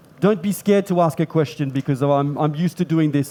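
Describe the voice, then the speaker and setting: A man's fairly high, dark, mellow voice in an Australian accent, with fairly even intonation and a fairly quick pace. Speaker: pastry chef demonstrator. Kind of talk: cooking demonstration with live interpretation.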